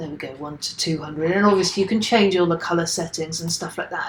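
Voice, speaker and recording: With a British accent, a woman speaks at a fairly low pitch, somewhat breathy, her intonation fairly even. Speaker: software teacher. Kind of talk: tutorial. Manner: casual; fast.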